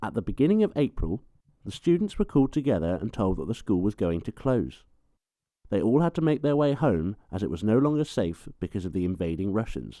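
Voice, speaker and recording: A man's fairly low voice with very wide pitch swings and a dark, mellow tone. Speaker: documentary narrator. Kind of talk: documentary narration.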